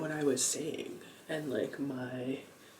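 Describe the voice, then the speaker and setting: A man talks at a very slow pace. Audible room echo and noticeable background noise surround his voice. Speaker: lifestyle vlogger. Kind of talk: casual late-night vlog monologue. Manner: halting, many fillers; whispering.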